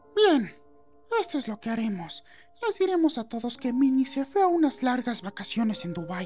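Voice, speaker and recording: A put-on character voice sits at a fairly high pitch with very wide pitch swings. It moves at a moderate pace over clear music in the background. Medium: dub.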